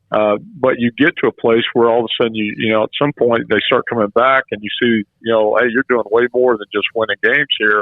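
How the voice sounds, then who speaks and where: In a normal speaking voice, a man talks at a fairly quick pace with fairly even intonation and hardly any pauses. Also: medium pitch for a man. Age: 60s. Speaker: former college baseball coach. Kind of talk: radio interview.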